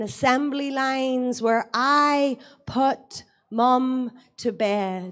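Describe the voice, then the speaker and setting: A woman's high-pitched voice with an Irish accent, at a very slow pace. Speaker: poet. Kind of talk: poetry reading.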